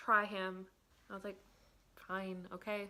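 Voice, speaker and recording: A woman speaks in a tearful tone. Her voice has a bright, sharp tone. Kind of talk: casual talk to camera. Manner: emotional, tearful in places.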